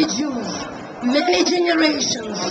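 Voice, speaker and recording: A woman speaks with a Russian accent, her pitch high and her intonation lively. Noticeable background noise runs underneath. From Soviet Union. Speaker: rally attendee, Soviet emigre. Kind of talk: impassioned political speech at a rally. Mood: impassioned, indignant. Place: street. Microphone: pa.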